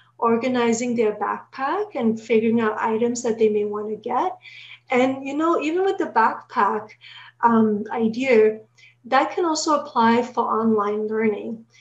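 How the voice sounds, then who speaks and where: Fairly high female speech with normal pitch movement. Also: fairly slow pace. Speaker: social worker and psychotherapist. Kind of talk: webinar presentation. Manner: halting, with fillers.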